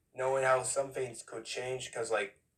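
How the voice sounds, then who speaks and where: This is a man with a medium-pitched voice. His delivery is somewhat breathy. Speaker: gaming YouTuber. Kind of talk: casual talk to camera.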